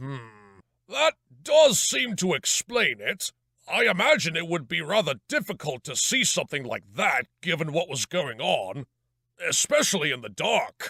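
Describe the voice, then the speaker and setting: A man puts on a character voice, high in pitch, at a moderate pace. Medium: audio drama. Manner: formal, measured.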